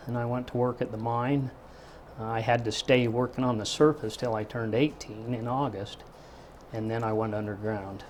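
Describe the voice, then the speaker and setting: A man speaks in a rural western American accent at medium pitch. His pace is moderate. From Utah, Park City. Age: 50s. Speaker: retired miner. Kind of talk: oral history interview. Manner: plain-spoken, halting with fillers.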